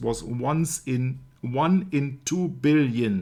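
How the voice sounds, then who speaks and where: This man speaks with a German accent. His pitch varies in an ordinary way. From Germany. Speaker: researcher of religious media topics. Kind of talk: casual discussion.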